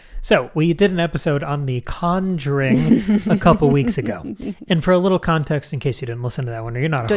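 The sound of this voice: A man talking at a very fast pace with lively intonation, amid noticeable background noise. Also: fairly high pitch for a man.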